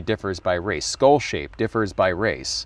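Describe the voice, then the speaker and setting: An ordinary speaking voice at a fairly slow pace, with ordinary pitch variation, in a very clean recording with a silent background. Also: man. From California. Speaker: community founder. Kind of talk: interview.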